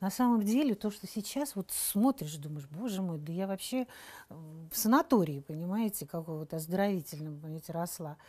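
On a very clean recording with a silent background, a woman with a dark, mellow, somewhat breathy tone and medium pitch speaks at a moderate pace, with lively intonation and big swings in loudness. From Saint Petersburg, Russia. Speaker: actress. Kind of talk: interview.

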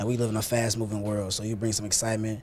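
Over light background noise, a man with a fairly low voice speaks at a very fast pace in a monotone, flat intonation. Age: young. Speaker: church youth leader. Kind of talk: interview. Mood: earnest, calm. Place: studio. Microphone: lapel.

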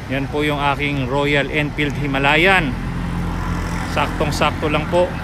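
Fairly slow speech over loud background noise, dry sound with no echo. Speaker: motorcycle vlogger. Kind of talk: casual vlog chat. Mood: relaxed, cheerful. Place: street. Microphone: phone near.

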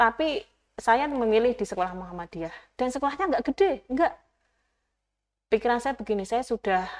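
Her voice is high for a woman, with very wide pitch swings, and she leaves long, frequent pauses. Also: fairly quick pace. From Java, Gunung Kidul (Yogyakarta); Java. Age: 30s. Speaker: youth organization leader, former teacher; interview guest. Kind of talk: interview; interview answer. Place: studio. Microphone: lapel.

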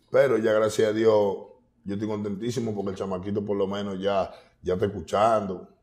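A man with a fairly low voice at a fairly quick clip, with audible room echo around him. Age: 30s. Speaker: urban music artist. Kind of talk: casual interview. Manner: animated.

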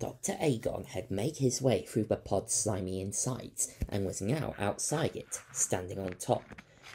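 What you hear is a natural reading voice.

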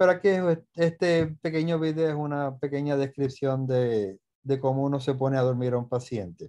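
With a quiet background, a man speaks at a moderate pace and a fairly high pitch. His tone is dark and mellow, with ordinary pitch variation. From Puerto Rico. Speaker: anesthesiologist. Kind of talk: lecture. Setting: video call. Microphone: webcam.

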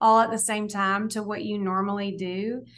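In an American accent, a woman with an ordinary speaking voice and a fairly high pitch talks at a fairly slow pace, her intonation fairly even against a quiet background. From US South. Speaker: dietitian and author; podcast guest. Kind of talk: interview. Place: home room. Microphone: video call.

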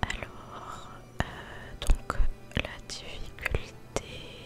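Someone whispers over music in the background. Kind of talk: ASMR gaming commentary. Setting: home studio microphone. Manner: whispered.

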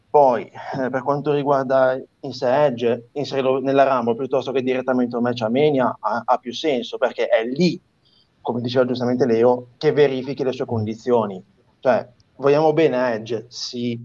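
A man speaks at a moderate pace in a monotone, with flat intonation. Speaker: wrestling show panelist. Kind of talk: casual chat. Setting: video call. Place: home room. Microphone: video call.

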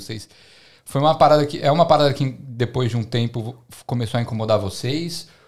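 A man talks at a moderate pace in a medium pitch with ordinary pitch variation. It is a plain, everyday voice against a quiet background. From Brazil. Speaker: podcast host. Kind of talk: casual chat. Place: home room. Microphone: studio mic.

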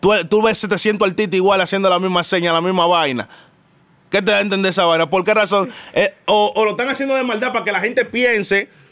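Against a quiet background, a man with a high voice talks fairly quickly at very even loudness and with ordinary pitch variation. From Dominican Republic, Santo Domingo; Dominican Republic. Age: young. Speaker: musician and comedian; comedian. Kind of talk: casual interview. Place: studio. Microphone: studio mic.

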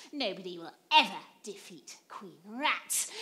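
A put-on character voice, female-sounding, with very wide pitch swings. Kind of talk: pantomime villain overacting. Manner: gleeful, scheming, bossy.

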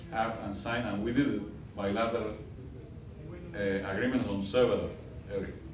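In a Spanish accent, a man talks at a moderate pace with fairly even intonation. Noticeable background noise and audible room echo surround him. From Cuba. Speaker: diplomat. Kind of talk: guest lecture. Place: classroom. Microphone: camera far.

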